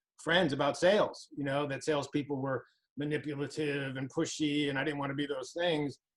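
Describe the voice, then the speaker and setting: A fairly high-pitched man at a fairly quick pace. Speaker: recruiting trainer. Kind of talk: interview.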